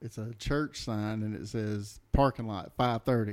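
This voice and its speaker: A man speaks at a fairly slow pace and a fairly low pitch, in a normal speaking voice. His intonation stays fairly even. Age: 40s. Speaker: guest podcast host. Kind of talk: casual chat.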